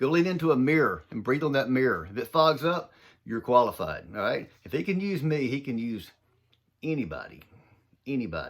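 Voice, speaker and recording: With a strong Southern US accent, a man of medium pitch talks at a fairly quick pace, using very wide pitch swings and big swings in loudness, on a very clean recording with a silent background. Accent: thick Southern US. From US South, southern Mississippi. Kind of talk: motivational talk. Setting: home office. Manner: fast; animated.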